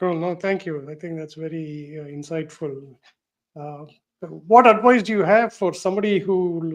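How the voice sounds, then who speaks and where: A man with a South Indian accent speaks at a moderate pace and high pitch, with big swings in loudness. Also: ordinary pitch variation. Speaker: show host and research analyst. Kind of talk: live panel interview. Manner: hesitant, many fillers.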